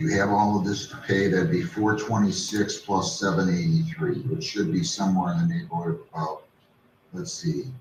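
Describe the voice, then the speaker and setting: Audible room echo surrounds a man speaking at a moderate pace, his fairly low voice making very wide pitch swings. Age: 60s. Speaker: judge. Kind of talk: court hearing. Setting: courtroom.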